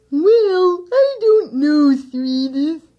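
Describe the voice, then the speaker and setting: This is a put-on character voice. It is high-pitched and squeaky. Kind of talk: 1960s children's radio acting. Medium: old radio play. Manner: mild, hesitant.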